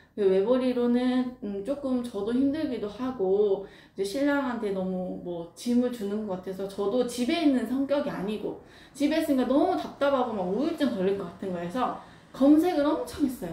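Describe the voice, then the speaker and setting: Her intonation lively and her pitch high, a woman talks at a moderate pace through audible room echo and noticeable background noise. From Jeolla, South Korea. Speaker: craft workshop owner. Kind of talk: casual Q&A talk. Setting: recorded wearing a face mask. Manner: unscripted, hesitant with fillers.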